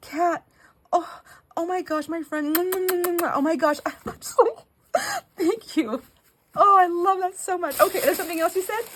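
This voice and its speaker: With an animated tone and an extremely high pitch, a woman speaks fairly slowly, showing ordinary pitch variation and long, frequent pauses. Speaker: craft video creator. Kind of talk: casual chat. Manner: high-pitched squeals.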